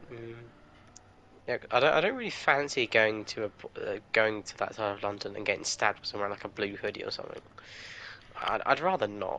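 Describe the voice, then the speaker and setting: Speaking fairly quickly with an English accent, a man swings a lot in loudness and leaves long, frequent pauses. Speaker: gamer. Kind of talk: casual chat.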